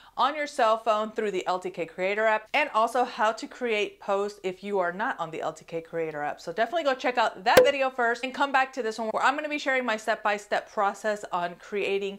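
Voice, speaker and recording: A woman talks with hardly any pauses. Noticeable background noise runs behind her. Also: fairly quick pace. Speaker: influencer creator. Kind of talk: tutorial. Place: home room. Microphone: lapel.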